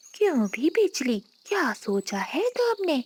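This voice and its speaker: A woman does a cartoonish character voice, high-pitched with very wide pitch swings, recorded dry and close with no echo. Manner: sly, commanding.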